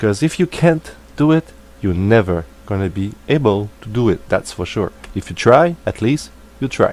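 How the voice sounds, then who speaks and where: A man with a non-native accent talks at a moderate pace, his fairly low voice carrying lively intonation. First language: not English. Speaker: hobbyist tech tutorial maker. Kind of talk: tutorial. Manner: hesitant, many fillers.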